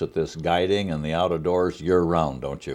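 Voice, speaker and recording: Very deep and low, a man's voice carries vocal fry. He speaks at a fairly quick pace. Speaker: TV show host, interviewer. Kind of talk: interview questions.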